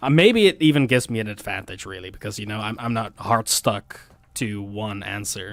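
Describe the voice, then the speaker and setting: A man with a Dutch accent speaks at a fairly low pitch and a fairly quick pace. His pitch varies in an ordinary way, while his loudness swings widely. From Netherlands. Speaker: gaming streamer. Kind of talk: casual live-stream commentary.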